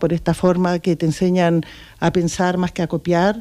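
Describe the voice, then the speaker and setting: Against a quiet background, a woman with a dark, mellow tone and fairly low pitch speaks at a fairly slow pace. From Chile. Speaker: local politician. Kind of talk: casual interview. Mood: earnest, reflective. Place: studio. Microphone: studio mic.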